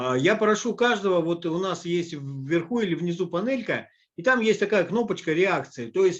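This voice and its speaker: High-pitched male speech at a moderate pace, with ordinary pitch variation. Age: 60s. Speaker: business presenter. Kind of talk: online presentation. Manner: hesitant, many filler sounds.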